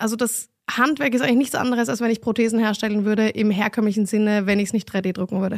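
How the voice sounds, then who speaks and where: Recorded very cleanly against a silent background, with a dry, close sound and no echo, a woman talks in an unremarkable speaking voice, fairly high in pitch with ordinary pitch variation. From Vienna, Austria. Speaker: fashion designer and entrepreneur. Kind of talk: interview answers, casual conversation.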